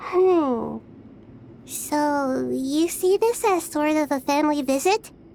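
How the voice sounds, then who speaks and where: Over clear music in the background, a woman puts on a character voice, high in pitch with ordinary pitch variation. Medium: fan dub. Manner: hesitant, stammering.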